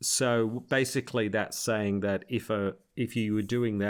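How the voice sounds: The intonation is fairly even. It comes from a natural reading voice.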